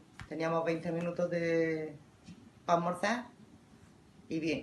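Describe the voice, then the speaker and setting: A woman speaks at a fairly slow pace in a fairly low pitch. Audible room echo surrounds her voice. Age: 50s. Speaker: grandparent interviewee. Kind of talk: interview.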